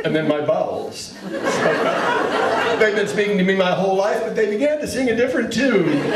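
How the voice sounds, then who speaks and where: Noticeable background noise accompanies a man speaking at a high pitch with lively intonation. He keeps a moderate pace with hardly any pauses. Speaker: comedian and monologue performer. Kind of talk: stand-up comedy monologue. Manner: conversational, wry, humorous.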